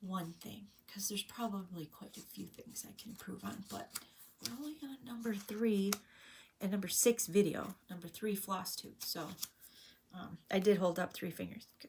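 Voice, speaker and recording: With an American accent and some vocal fry, a woman speaks at a moderate pace, medium in pitch with ordinary pitch variation. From Illinois, US Midwest. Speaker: craft vlogger. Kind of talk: casual vlog monologue. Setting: home, filmed on a tablet. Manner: loud; sometimes mumbles.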